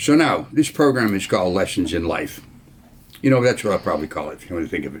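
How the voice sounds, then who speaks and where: A man talks at a very fast pace and a medium pitch, with vocal fry. His pitch swings are very wide and his loudness swings a lot. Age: 80s+. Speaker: military veteran and video host. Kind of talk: casual talk to camera. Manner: informal, conversational.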